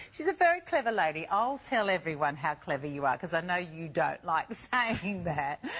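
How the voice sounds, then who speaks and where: Delivered at a moderate pace with lively intonation, it is an unremarkable speaking voice. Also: woman, fairly low pitch for a woman. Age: 50s. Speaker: shopping channel presenter. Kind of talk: TV shopping presentation.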